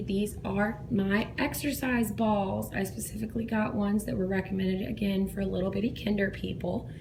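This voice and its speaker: A moderate pace with hardly any pauses, in a Southern US accent, over noticeable background noise. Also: woman. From South Georgia, US. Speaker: kindergarten teacher. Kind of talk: casual classroom tour narration. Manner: whispered.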